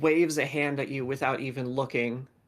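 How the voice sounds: Simply a natural reading voice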